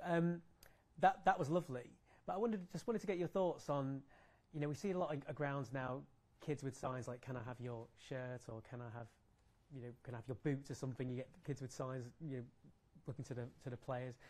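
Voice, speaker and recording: A man speaks at a fairly quick pace with an English accent, his voice somewhat breathy. His pitch varies in an ordinary way, and he leaves long, frequent pauses. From England. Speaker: sports journalist. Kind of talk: press conference. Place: hall.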